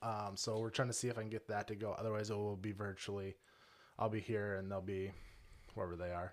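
In an Upper Midwest accent, a man talks at a very fast pace with a fairly low pitch and monotone, flat intonation, on a very clean recording with a silent background. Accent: Upper Midwest American. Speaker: home cook, cooking competition winner. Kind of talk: casual interview. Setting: studio.

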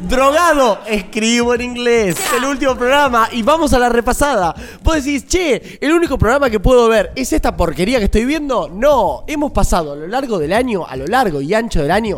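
Speaking with hardly any pauses, a man with an extremely high pitch uses an animated tone over noticeable background noise. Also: lively intonation, moderate pace. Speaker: podcast co-host. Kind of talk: casual chat.

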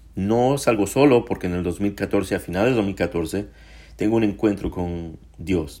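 On a very clean recording with a silent background, a man speaks fairly slowly in a fairly low pitch, with a dark, mellow tone and ordinary pitch variation. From Mexico, Puebla. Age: 40s. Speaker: podcaster sharing faith story. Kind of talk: personal testimony monologue.

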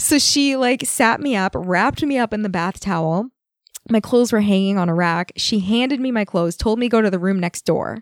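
In a normal speaking voice, the speaker moves at a fairly quick pace with lively intonation, heard in a very clean recording with a silent background and a dry, close sound with no echo. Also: woman, fairly high pitch for a woman. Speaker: massage therapist. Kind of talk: casual chat. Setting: studio.

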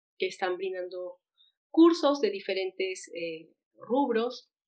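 Ordinary pitch variation and a fairly slow pace from a woman at medium pitch, in an unremarkable speaking voice. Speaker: podcast host. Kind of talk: interview.

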